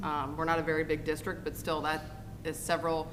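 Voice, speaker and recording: The room echo is audible. Words come at a very fast pace. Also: woman. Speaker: school district special programs administrator. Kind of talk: board meeting presentation. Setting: school board meeting.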